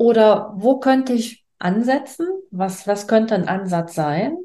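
Speaking at a very slow pace, a woman has a dark, mellow tone and lively intonation. The background is quiet. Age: 60s. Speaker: business coach. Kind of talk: interview. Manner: halting.

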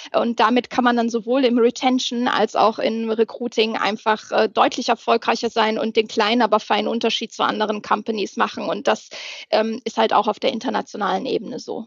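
Monotone, flat delivery at a fairly quick pace, with a dry, close sound and no echo. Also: woman, fairly high pitch for a woman. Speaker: HR manager. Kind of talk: casual interview. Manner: loud.

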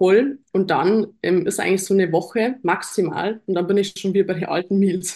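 A woman with a normal speaking voice talks at medium pitch and a fairly slow pace, keeping her intonation fairly even. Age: 20s. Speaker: fitness athlete and online coach. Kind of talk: casual chat.

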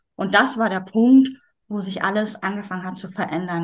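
Somewhat breathy, a woman talks at a moderate pace and medium pitch with lively intonation. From northern Germany, Schleswig-Holstein. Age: 40s. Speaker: yoga teacher. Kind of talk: interview.

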